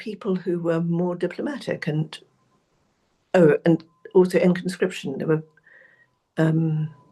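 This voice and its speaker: A woman with a British accent speaks fairly slowly at a fairly low pitch, her dark, mellow tone marked by fairly even intonation and long, frequent pauses. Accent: very British. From South Africa. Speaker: researcher and author. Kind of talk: interview.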